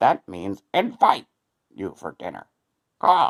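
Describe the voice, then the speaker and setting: A put-on character voice is used. It moves at a fairly slow pace. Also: man. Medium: read story.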